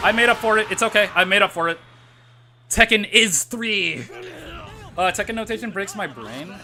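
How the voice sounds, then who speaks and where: A man's high-pitched, raised and projected voice with ordinary pitch variation over noticeable background noise. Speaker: fighting game streamer. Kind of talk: casual gameplay livestream commentary. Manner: fast; hesitant, many fillers.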